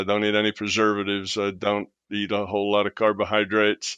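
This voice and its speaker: This man has a fairly low voice and speaks with an American accent. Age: 70s. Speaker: retired physicist and author. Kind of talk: interview conversation.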